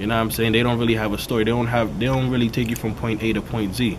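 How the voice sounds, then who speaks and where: A man of medium pitch at a very fast pace, with audible room echo and noticeable background noise. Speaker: rapper. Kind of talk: interview. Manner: casual, repetitive fillers.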